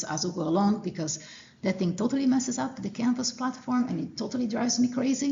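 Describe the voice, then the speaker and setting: Noticeable background noise sits behind a woman with a Portuguese accent. Her intonation is lively. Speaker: college professor. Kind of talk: lecture. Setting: classroom. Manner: hesitant, many fillers.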